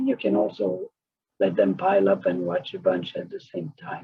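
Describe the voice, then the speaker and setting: A man speaks at a moderate pace. He has a non-native accent. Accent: foreign accent, noticeable. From outside the US, came to America at fourteen. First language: not English. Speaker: author and course teacher. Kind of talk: recorded lesson.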